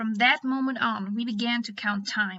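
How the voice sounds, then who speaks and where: The speaker has a non-native accent, a moderate pace and ordinary pitch variation. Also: woman. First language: not English. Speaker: animator and storyteller. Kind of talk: informative explainer video. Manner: careful pronunciation. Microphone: built-in mic, poor audio quality.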